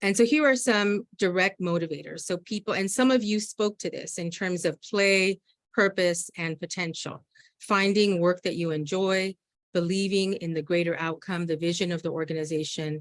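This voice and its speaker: This woman speaks at a medium pitch with ordinary pitch variation. The sound is dry and close, with no echo. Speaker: organizing trainer. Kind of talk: training presentation. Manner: fast.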